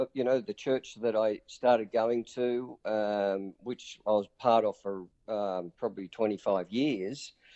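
This man talks with a strong Australian accent. His pace is very slow. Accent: broad Australian. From Newcastle, Australia. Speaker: pastor and community charity leader. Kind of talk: interview.

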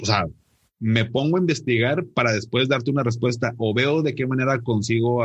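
A somewhat breathy man at a moderate pace. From Monterrey, northern Mexico. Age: 30s. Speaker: financial advisor and podcaster. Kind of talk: interview conversation. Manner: halting, many repetitions and fillers.

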